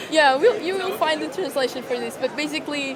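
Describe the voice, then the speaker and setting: A woman with a Portuguese accent is heard amid noticeable background noise and audible room echo. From Portugal. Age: young. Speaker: startup founder. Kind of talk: interview. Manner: hesitant.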